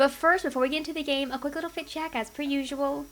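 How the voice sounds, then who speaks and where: A quiet, high-pitched woman's voice. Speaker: gaming youtuber. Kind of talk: casual gameplay commentary.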